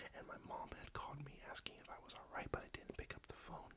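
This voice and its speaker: The speaker whispers in a relaxed tone. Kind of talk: casual update talk to camera; ASMR soft-spoken update. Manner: soft-spoken, relaxed.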